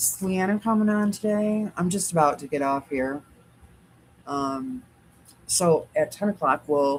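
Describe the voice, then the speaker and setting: Speaking at a fairly slow pace with long, frequent pauses, this woman has a medium pitch, a somewhat breathy quality and lively intonation. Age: 60s. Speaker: quilting livestream host. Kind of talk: casual livestream chat. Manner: chatty, talks to dog.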